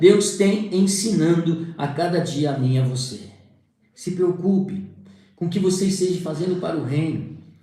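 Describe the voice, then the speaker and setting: In a room with audible echo, a man talks at a fairly slow pace with ordinary pitch variation. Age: 60s. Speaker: preacher. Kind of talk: sermon.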